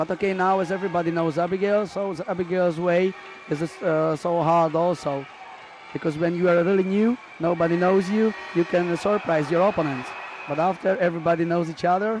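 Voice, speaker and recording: Over noticeable background noise, a man with a Hungarian accent speaks at a fairly quick pace in a high pitch, his intonation fairly even. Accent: non-native English, Hungarian. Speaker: judo expert co-commentator. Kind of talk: live sports commentary. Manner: halting, many hesitations.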